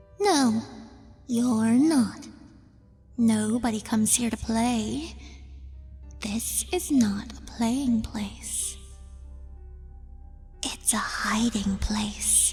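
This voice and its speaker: A woman puts on a whispering, guttural, growling character voice, speaking very slowly with long, frequent pauses. Clear music plays in the background. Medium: read story. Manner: cajoling, sweet, unsettling.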